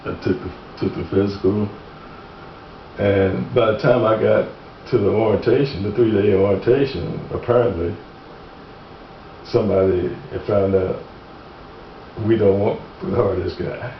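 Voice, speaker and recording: Amid noticeable background noise and audible room echo, a man with a fairly low voice speaks at a moderate pace with long, frequent pauses. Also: ordinary pitch variation. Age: 70s. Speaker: truck driver giving statement on injury claim. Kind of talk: recorded deposition interview. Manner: halting, many repeated words.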